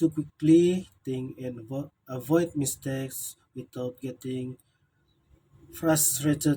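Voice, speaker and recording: Speaking at a very slow pace, this voice has a dark, mellow tone, a somewhat breathy quality, fairly even intonation and big swings in loudness. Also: man, fairly high pitch for a man. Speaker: student. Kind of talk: self-evaluation speech. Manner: halting.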